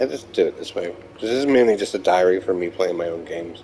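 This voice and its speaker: A man rattles along at a very fast pace while noticeable noise carries on behind him. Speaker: gamer recording gameplay diary. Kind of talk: casual gameplay commentary. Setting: playing in bed. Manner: halting, stuttering.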